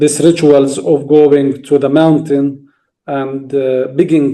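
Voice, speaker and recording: A man with a Palestinian accent speaks very slowly in a fairly high pitch, his dark, mellow tone carried by fairly even intonation. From Palestine, village near Nablus. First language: Arabic. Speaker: farmer and speaker on Palestinian farming. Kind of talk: interview talk on a video call. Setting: video call from Palestine. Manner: halting, with repetitions and restarts.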